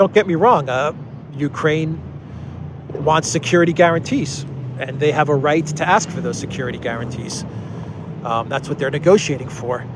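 A man speaks at a moderate pace with a fairly high pitch and ordinary pitch variation, leaving long, frequent pauses, in a dry sound with no echo over noticeable background noise. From Cyprus. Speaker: political news commentator. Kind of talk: solo video news commentary. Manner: hesitant, many fillers. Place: street. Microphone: phone near.

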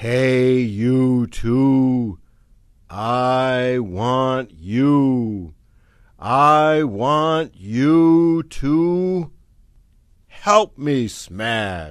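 A man speaks in a put-on character voice at a medium pitch. His intonation is lively and his pace very slow. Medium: read story.

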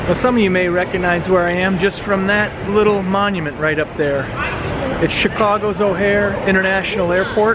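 In a dry recording with no echo but noticeable background noise, a man speaks at a moderate pace. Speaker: travel vlogger. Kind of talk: casual vlog chat. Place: station. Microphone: phone near.

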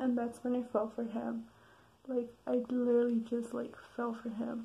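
A woman whispers quietly. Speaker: vlogger. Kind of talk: casual talk to camera. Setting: late at night, recorded at home. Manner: whispered, quiet. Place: home room. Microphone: webcam.

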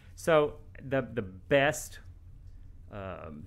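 In a West Texas accent, a man talks at a moderate pace with lively intonation. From West Texas (Midland). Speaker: radiation oncologist. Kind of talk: podcast interview.

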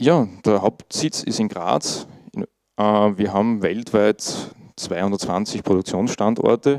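A man with an Austrian accent speaks at a fairly low pitch in a dark, mellow tone, with ordinary pitch variation, a dry sound with no echo and a quiet background. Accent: Austrian German, noticeable dialect. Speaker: IT monitoring specialist, conference speaker. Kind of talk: conference talk. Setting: conference stage with audience. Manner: casual, informal. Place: meeting room.

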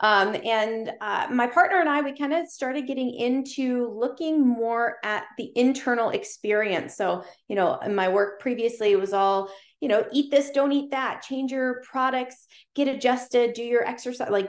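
Against a quiet background, a woman speaks at a moderate pace with a high pitch and ordinary pitch variation. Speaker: podcast guest, chiropractor. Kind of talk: interview answer. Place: home room. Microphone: video call.

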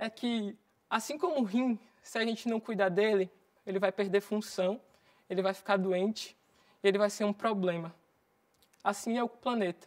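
Against a quiet background, a woman speaks at a moderate pace with long, frequent pauses. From Bahia, Brazil (Recôncavo). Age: 20s. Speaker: climate activist. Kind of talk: motivational talk. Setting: stage with audience. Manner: animated. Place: studio.

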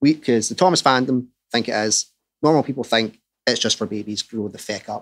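In a Scottish accent, a man talks at a fairly quick pace with ordinary pitch variation against a quiet background. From Scotland. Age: 30s. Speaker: podcast host and Thomas fan. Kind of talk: casual chat. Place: home room. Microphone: studio mic.

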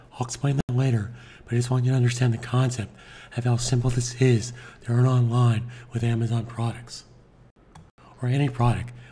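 This man has a medium pitch and a dark, mellow, somewhat breathy tone in a monotone, flat intonation. He goes at a fairly quick pace with long, frequent pauses. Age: 60s. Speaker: online marketing tutor. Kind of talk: tutorial.

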